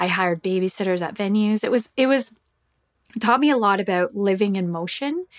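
At a fairly quick pace, a woman talks in a medium pitch with ordinary pitch variation. She has an ordinary speaking voice. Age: 40s. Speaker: singer-songwriter and musician. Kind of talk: casual interview conversation. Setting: video call.

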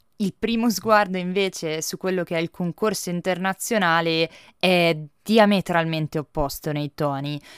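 In an ordinary speaking voice, a woman talks at a moderate pace with fairly low pitch and ordinary pitch variation, the sound dry and close with no echo. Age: 20s. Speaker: film critic. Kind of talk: podcast film review monologue.

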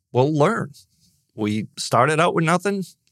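Speaking at a fairly slow pace with a Boston accent, a man makes very wide pitch swings in a dry, close sound with no echo, on a very clean recording with a silent background. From Boston, Massachusetts (born in Ireland). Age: 60s. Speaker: business coach. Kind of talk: casual interview chat.

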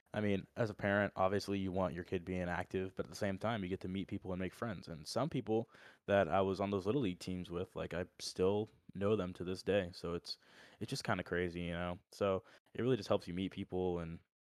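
Very deep and low in pitch, a man with an American accent talks at a fairly quick pace with fairly even intonation, on a very clean recording with a silent background and a dry, close sound with no echo. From Orlando, Florida. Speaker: college football walk-on player. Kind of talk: casual chat.

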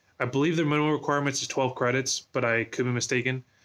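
In an American accent, a man speaks at a medium pitch with monotone, flat intonation and a fairly quick pace against a quiet background. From Southern California, US. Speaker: university esports program staff. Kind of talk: guided tour; interview. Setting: esports arena.

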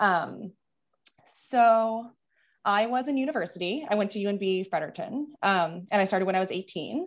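At a moderate pace, a woman talks in a normal speaking voice of medium pitch with ordinary pitch variation. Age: 30s. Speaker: nurse. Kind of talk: personal testimony. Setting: video call.

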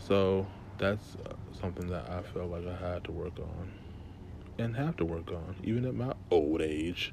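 Amid audible room echo, a man with a very deep, low pitch speaks at a fairly slow pace with long, frequent pauses and ordinary pitch variation. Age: young. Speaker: podcast host. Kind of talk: personal monologue. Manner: casual.

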